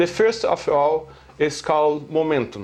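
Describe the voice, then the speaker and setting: A man at a fairly high pitch with a Brazilian Portuguese accent, very slow pace, and ordinary pitch variation. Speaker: amateur physics theorist. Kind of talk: lecture. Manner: halting, many fillers.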